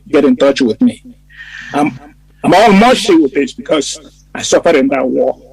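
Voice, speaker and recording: A man with a high pitch talks at a moderate pace with very wide pitch swings. The sound is dry and close, with no echo. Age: 70s. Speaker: war veteran. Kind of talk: casual chat. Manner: halting.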